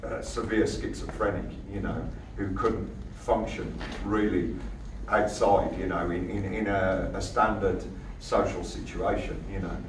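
Speech comes at a fairly slow pace. Noticeable background noise runs underneath. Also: man. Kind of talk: informal talk to an audience. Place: hall. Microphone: camera far.

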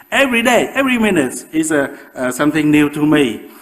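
The speaker has a Vietnamese accent. Pitch variation is ordinary. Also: man. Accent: Vietnamese-accented English, moderate. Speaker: professor and osteoporosis researcher. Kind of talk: public lecture. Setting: lecture with audience. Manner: halting, with frequent fillers. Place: hall.

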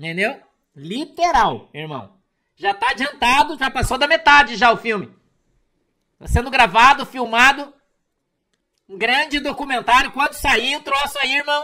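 A man with an extremely high pitch speaks in a raised, projected voice at a fairly slow pace, with long, frequent pauses. His tone is bright and sharp, his loudness swings widely, and the background is quiet. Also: ordinary pitch variation. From Brazil. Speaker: preacher and online commentator. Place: home room. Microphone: webcam.

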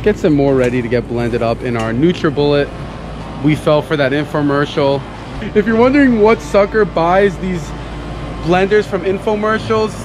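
A man's voice with long, frequent pauses, over noticeable background noise. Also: moderate pace, dry sound with no echo. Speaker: vlogger host. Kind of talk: casual vlog chat. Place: garden. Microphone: phone near.

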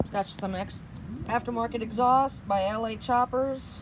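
A woman talks at a fairly slow pace with ordinary pitch variation. Noticeable background noise runs behind her. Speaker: motorcycle salesperson. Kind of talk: product walkaround commentary. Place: street. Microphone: phone near.

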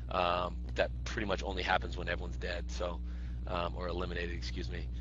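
The speech moves at a fairly quick pace, with a dry sound with no echo and noticeable background noise. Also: man. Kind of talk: interview answer. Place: office. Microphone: headset.

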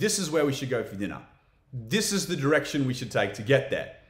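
A man speaks with very wide swings in pitch. Audible echo from the room surrounds his voice. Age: 30s. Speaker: podcast host. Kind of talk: solo educational talk.

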